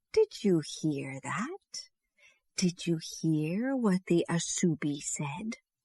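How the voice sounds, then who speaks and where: A woman's put-on character voice, fairly low in pitch, with lively intonation at a very slow pace, in a dry, close sound with no echo. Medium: read story.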